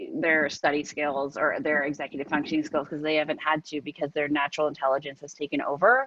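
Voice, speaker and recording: A woman with a very deep, low pitch speaks at a very fast pace with hardly any pauses. Her intonation stays fairly even. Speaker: executive functioning coach. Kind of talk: live interview discussion.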